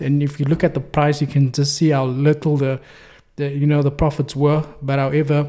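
The man's tone is dark and mellow, and the background is quiet. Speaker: trading signal reviewer. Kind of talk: commentary. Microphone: studio mic.

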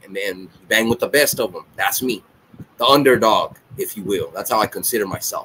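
A man talks at a fairly quick pace with light background noise behind him. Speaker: reaction channel host. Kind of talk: casual vlog chat. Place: home room. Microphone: webcam.

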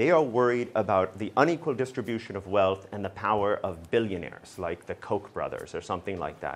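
A fairly quick-paced male voice. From Alaska. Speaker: law professor. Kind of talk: lecture. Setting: lecture hall with audience. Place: classroom. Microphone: lapel.

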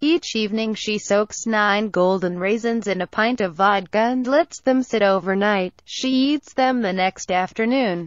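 This woman has an unremarkable speaking voice with fairly high pitch. She talks at a fairly slow pace with hardly any pauses. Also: ordinary pitch variation. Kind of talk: news article narration.

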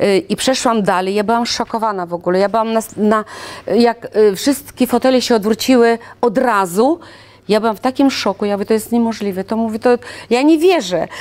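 A woman's fairly high voice with a Russian accent, at a fairly quick pace and with ordinary pitch variation. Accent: Russian accent in Polish. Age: 60s. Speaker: singer, sworn translator, Russian teacher. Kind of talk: interview answer. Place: studio.

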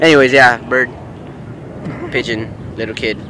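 With faint background noise, a man at medium pitch speaks at a fairly slow pace in a bright, sharp tone with fairly even intonation.

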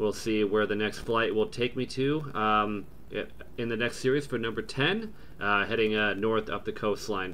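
Bright and sharp in tone, a man with an American accent talks at a moderate pace in a fairly low pitch with fairly even intonation. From US. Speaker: gaming YouTuber playing flight simulator. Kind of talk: casual gameplay commentary. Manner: halting, filler-heavy with frequent um and uh.

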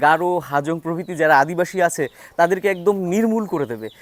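Pitched high, a man talks with his pitch varying an ordinary amount. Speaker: travel vlogger. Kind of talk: travel vlog narration and interviews.

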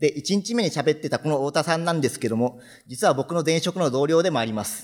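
Against a quiet background, a man with a fairly high voice talks at a very fast pace. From Japan, Fukuoka; Japan. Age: 30s. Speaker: software developer; conference speaker. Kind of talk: conference talk. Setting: stage with audience. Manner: formal. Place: hall.

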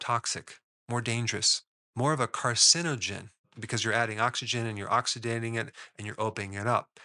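Over a quiet background, a man speaks at a moderate pace in a bright, sharp tone. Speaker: health educator. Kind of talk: lecture. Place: home room. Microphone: studio mic.

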